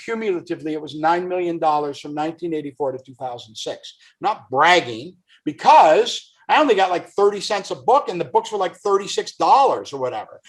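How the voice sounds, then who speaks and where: A man with a high pitch speaks in an animated tone, his pitch swinging very widely. His pace is fairly quick. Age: 60s. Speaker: author and actor. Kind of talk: podcast interview.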